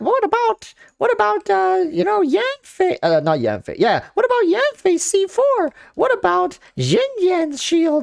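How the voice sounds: This man puts on a character voice pitched extremely high. His pace stays moderate.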